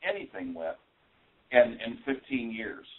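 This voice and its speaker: A man speaks at a fairly slow pace. He has a Midwestern American accent. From US Midwest. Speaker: paranormal radio show host. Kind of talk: panel discussion.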